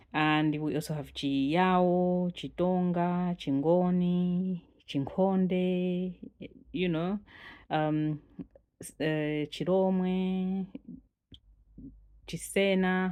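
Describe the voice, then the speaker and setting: A woman with a Malawian accent talks at a very slow pace with long, frequent pauses. Her fairly low pitch holds fairly even intonation. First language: Chitumbuka. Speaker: language teacher. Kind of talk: channel introduction.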